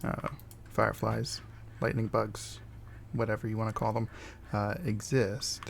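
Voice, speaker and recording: Soft-spoken and at a fairly slow pace, a man talks with long, frequent pauses. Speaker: gaming video creator. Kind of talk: casual gameplay commentary. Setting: home recording with OBS. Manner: halting, many fillers. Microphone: voice quiet relative to game audio.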